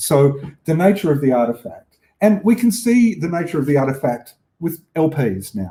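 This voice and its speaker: A somewhat breathy voice with a dark, mellow tone and an Australian accent, at a moderate pace with very wide pitch swings. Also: man. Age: 60s. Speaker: film exhibitor and collector. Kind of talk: lecture. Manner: halting.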